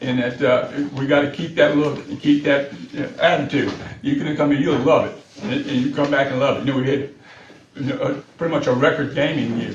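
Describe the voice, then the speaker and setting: Amid noticeable background noise and audible room echo, a man with an American accent and a fairly high pitch talks at a fairly quick pace. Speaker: city official presenting to county board. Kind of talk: public meeting presentation. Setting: board meeting room. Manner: fast; halting, many repeated words.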